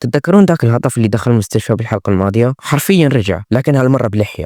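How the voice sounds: With lively intonation and a dark, mellow tone, a man at medium pitch speaks at a very fast pace in a dry, close sound with no echo.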